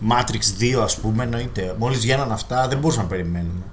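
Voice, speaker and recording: A man's somewhat breathy, medium-pitched voice at a moderate pace, with ordinary pitch variation and audible room echo. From Greece, Thessaloniki. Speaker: podcast co-host. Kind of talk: casual chat. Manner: hesitant fillers.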